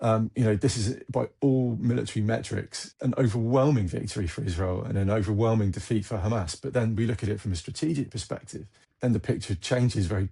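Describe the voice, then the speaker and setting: Very fast, somewhat breathy male speech with an English accent, fairly low in pitch with ordinary pitch variation, hardly any pauses, and a quiet background. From England. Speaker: military analyst, former army officer. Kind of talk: interview. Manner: halting, repeats words.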